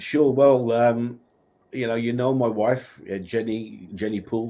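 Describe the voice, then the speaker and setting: With a West Midlands accent, a man speaks at a fairly slow pace and medium pitch, his tone dark and mellow and his intonation fairly even. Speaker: minister, guest speaker. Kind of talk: interview.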